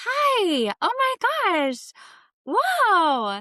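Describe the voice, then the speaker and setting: A put-on character voice at an extremely high pitch leaps through very wide pitch swings in a very clean recording with a silent background. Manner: overly excited and inauthentic.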